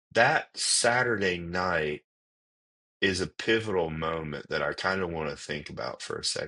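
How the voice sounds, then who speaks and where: A man with an American accent and a bright, sharp tone, talking fairly slowly against a quiet background. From US South, Atlanta area, Georgia. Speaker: chaplain, military veteran. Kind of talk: testimony. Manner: conversational with many fillers.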